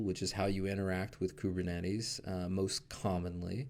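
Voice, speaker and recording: In an American accent, a dark, mellow voice speaks at a moderate pace on a very clean recording with a silent background. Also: man. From US South. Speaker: tech educator. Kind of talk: tutorial. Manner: halting, many fillers.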